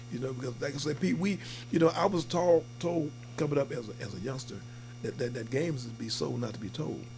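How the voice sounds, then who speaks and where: This man talks at a very fast pace with vocal fry, a medium pitch and lively intonation. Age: 60s. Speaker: talk show host. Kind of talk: casual interview.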